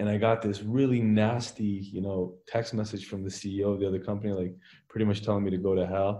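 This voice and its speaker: Dark and mellow in tone, the voice moves at a fairly quick pace with flat, monotone intonation. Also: man, fairly low pitch for a man. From Canada, Toronto area (Richmond Hill). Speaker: company founder and CEO. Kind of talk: interview conversation.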